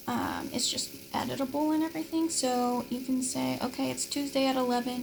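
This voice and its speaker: Noticeable background noise behind a woman talking at a moderate speed. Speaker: teaching assistant. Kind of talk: course overview tutorial. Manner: casual, filler-heavy.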